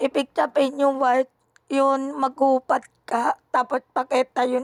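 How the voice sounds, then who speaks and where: A woman speaks at a very slow pace and a high pitch. The sound is dry and close, with no echo. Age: 20s. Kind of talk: casual chat. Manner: halting.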